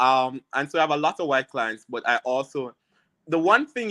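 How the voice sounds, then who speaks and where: Speaking at a fairly quick pace, a man with a strong Jamaican accent has a bright, sharp tone in a dry, close recording with no echo. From rural Jamaica. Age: 30s. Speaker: immigration and criminal lawyer. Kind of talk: interview on live stream.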